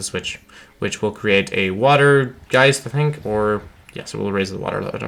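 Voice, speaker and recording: The voice belongs to a man. Ordinary pitch variation runs through his speech. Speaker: gaming YouTuber. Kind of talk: gameplay walkthrough commentary. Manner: casual, halting with fillers.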